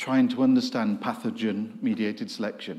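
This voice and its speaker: With an English accent, a man speaks in very wide pitch swings. Audible room echo follows his voice. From England. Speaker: professor. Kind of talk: lecture.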